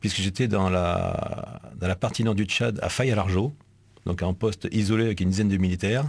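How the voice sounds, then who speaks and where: This man has a fairly low pitch and speaks in a Marseille accent. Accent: southern French (Marseille). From Marseille, southern France. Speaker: military delegate, army officer. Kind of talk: casual interview in radio studio. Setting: radio studio. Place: studio. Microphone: studio mic.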